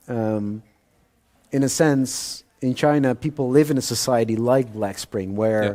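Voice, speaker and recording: With a Dutch accent, a man speaks at a fairly slow pace in a dark, mellow tone, medium in pitch with ordinary pitch variation. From Netherlands. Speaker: thriller author. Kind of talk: interview at author event. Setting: live audience event. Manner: hesitant with fillers.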